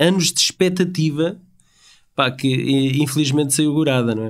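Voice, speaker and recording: Using a normal speaking voice, a man talks at a moderate pace with fairly high pitch and lively intonation. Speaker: podcast co-host. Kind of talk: casual chat.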